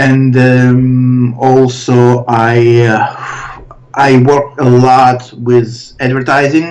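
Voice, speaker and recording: Through noticeable background noise, a man with a medium pitch speaks at a very slow pace with monotone, flat intonation. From Soviet Union, later Israel. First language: Russian. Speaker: illustrator and character designer. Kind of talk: interview. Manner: halting, many fillers.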